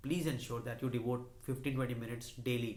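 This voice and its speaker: This man has a medium-pitched, somewhat breathy voice. Audible room echo surrounds his speech. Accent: Indian. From India, Delhi. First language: Hindi. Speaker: YouTuber, finance and motivation channel. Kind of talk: personal vlog monologue. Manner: hesitant with many fillers.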